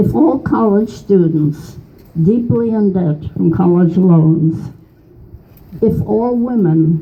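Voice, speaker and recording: A woman's fairly low voice at a very slow pace, with lively intonation. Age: 80s+. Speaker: political activist. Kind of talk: reading own political poem.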